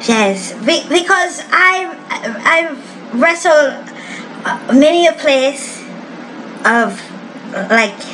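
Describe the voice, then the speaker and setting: In a room with audible echo and noticeable background noise, a woman with a high pitch uses lively intonation at a very slow pace with long, frequent pauses. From Japan, Osaka. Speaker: wrestler. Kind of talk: interview. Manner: halting, searching for words.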